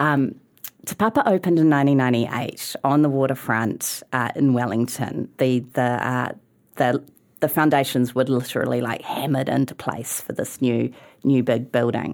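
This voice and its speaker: Talking at a moderate pace, a woman with a New Zealand accent has a very deep, low pitch and fairly even intonation. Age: 40s. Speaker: museum chief executive. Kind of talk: casual chat.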